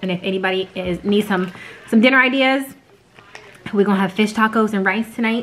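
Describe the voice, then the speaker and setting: A woman speaks at a fairly quick pace with fairly even intonation. Light background noise is audible. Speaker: family vlogger. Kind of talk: casual vlog chat. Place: home room. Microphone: phone near.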